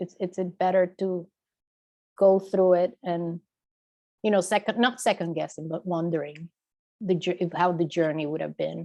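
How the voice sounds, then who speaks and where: A woman with a dark, mellow tone and fairly even intonation leaves long, frequent pauses as she speaks. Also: moderate pace. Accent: non-native. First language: not English. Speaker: audience member. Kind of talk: audience question. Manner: halting.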